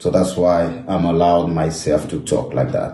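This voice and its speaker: In a French accent, a man speaks at a moderate pace. His voice is very deep and low, with a dark, mellow tone. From France. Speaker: former footballer. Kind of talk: emotional social media monologue to camera.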